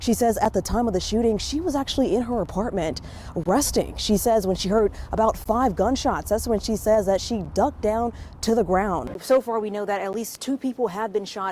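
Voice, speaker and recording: Woman's fairly high, fairly quick, a normal speaking voice with an American accent and ordinary pitch variation. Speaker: TV news anchor and field reporter. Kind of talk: broadcast news anchoring and live field reporting. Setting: outdoors, live on-scene field report.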